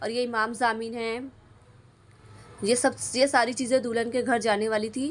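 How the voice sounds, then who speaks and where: Moderately paced speech from a woman, flat and monotone. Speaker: YouTuber, tech channel creator. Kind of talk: vlog narration. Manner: halting.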